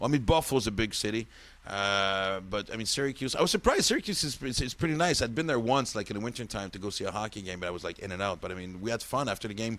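In a French accent, a man talks at a very fast pace and medium pitch. His tone is animated and his intonation lively. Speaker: podcast host, comedian. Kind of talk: casual chat. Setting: studio.

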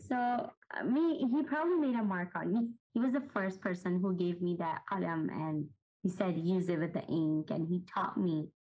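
Somewhat breathy, a woman with a medium pitch speaks at a moderate pace with lively intonation. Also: very even loudness. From Pakistan. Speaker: artist. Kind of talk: interview.

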